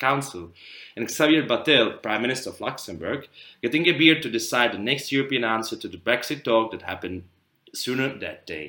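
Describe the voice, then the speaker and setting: On a very clean recording with a silent background, a man with a Czech accent speaks at a fairly quick pace, his medium pitch carrying lively intonation and a bright, sharp tone. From Czech Republic. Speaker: student podcast co-host. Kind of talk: prepared discussion, partly read.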